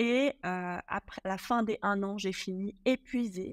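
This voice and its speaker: A woman uses an ordinary speaking voice at a medium pitch with ordinary pitch variation. The sound is dry and close with no echo, in a very clean recording with a silent background. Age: 40s. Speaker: professional home organizer. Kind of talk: casual interview chat.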